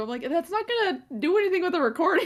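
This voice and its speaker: Against noticeable background noise, a woman talks at a very fast pace in an extremely high-pitched voice with very wide pitch swings. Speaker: podcast co-host. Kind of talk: casual chat. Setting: video call.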